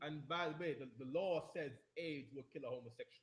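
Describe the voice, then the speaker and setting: Animated and somewhat breathy, a man speaks with a fairly high pitch. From Jamaica. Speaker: religious teacher. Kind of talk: lecture.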